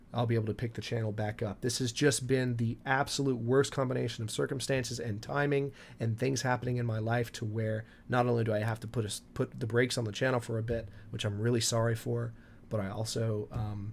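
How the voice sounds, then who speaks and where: Somewhat breathy and medium in pitch, a man talks at a fairly quick pace with fairly even intonation on a very clean recording with a silent background. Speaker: gaming YouTuber. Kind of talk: casual talk to camera.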